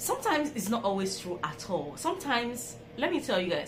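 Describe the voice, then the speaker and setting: A woman speaks fairly quickly, with clearly audible background noise and audible echo from the room. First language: not English. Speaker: vlogger. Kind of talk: storytelling vlog. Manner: casual, conversational.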